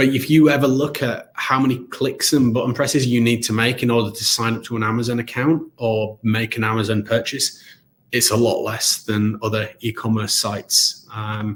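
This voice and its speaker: Somewhat breathy, a man talks with a British accent and fairly even intonation. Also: medium pitch for a man, moderate pace. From England. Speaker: company CEO presenting webinar. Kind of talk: live webinar product demo with Q&A. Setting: live online broadcast. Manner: casual, hesitant with fillers.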